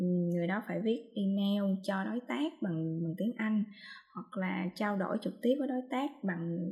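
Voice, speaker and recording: Her voice is dark and mellow, somewhat breathy, and medium in pitch. The woman speaks at a fairly slow pace with lively intonation. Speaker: podcast co-host on translation. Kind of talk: casual chat. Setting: video call from home.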